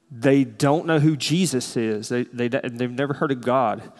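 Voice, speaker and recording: In a Southern US accent, a man speaks at a moderate pace and medium pitch with ordinary pitch variation, on a very clean recording with a silent background. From US South. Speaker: church elder preaching. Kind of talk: sermon.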